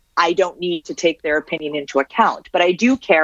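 Heard in a dry, close sound with no echo, a woman with a Canadian accent and a normal speaking voice talks at a moderate pace in a fairly low pitch, with ordinary pitch variation. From Canada (Syrian-born). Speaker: author on digital technology. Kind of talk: interview. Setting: remote interview from home.

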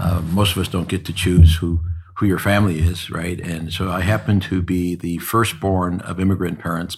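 This man's voice is very deep and low in pitch, somewhat breathy, and delivered in a monotone, flat intonation. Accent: American. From Cleveland area, Northeast Ohio. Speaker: insurance firm founder and CEO. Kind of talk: interview conversation.

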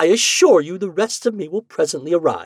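Pitched in the middle, the speaker puts on a character voice. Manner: exasperated.

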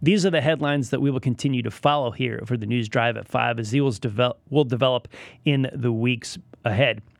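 Here is a plain, everyday voice with ordinary pitch variation. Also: man, medium pitch for a man, fairly quick pace, very clean recording, silent background. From Connecticut, New England. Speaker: radio news host. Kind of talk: radio news talk show. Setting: radio studio.

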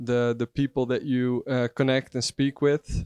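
With a Dutch accent, a man speaks at medium pitch in a monotone, flat way, the sound dry and close with no echo. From Netherlands, Zeeland coastal village. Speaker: customer support staff. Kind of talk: casual interview. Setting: rooftop hotel location.

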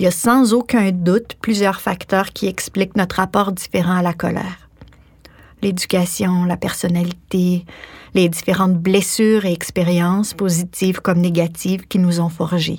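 A woman's somewhat breathy voice at medium pitch, with very even loudness and fairly even intonation. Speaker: author and actress. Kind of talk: scripted narration.

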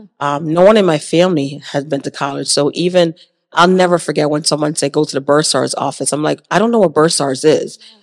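A woman with an American accent, very deep and low in pitch, at a fairly quick pace. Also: ordinary pitch variation. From Jamaica, then Hartford, Connecticut. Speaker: university dean of students. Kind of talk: interview.

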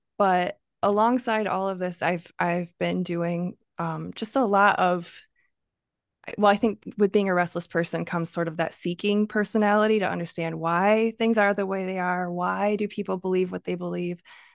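A woman with an American accent talks at a moderate pace, her pitch medium and her intonation fairly even. It is an unremarkable speaking voice over a quiet background. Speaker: poet. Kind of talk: interview about her poetry. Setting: video call.

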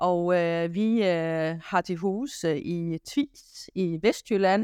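With ordinary pitch variation, this woman's voice sits fairly low. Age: 50s. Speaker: kitchen retail chain executive. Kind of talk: interview. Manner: hesitant, many fillers.

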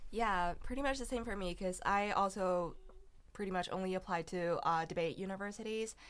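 Speaking at a fairly quick pace, a woman with a Chinese accent uses a medium pitch and ordinary pitch variation. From China. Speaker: college debater. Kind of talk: casual interview.

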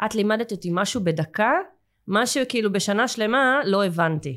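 Recorded very cleanly with a silent background, a woman speaks in an ordinary speaking voice at medium pitch, with lively intonation and a moderate pace. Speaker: English teacher and school owner. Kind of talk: casual interview chat.

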